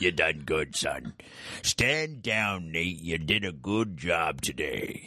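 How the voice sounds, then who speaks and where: In a put-on character voice, a man speaks very slowly, gruff and very deep in pitch. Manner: authoritative, praising.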